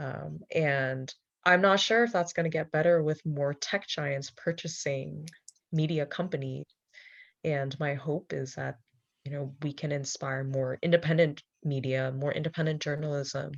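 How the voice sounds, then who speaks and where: A woman with a Cantonese accent, very deep and low in pitch, fairly even in intonation, at a moderate pace against a quiet background. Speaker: journalist. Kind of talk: panel discussion.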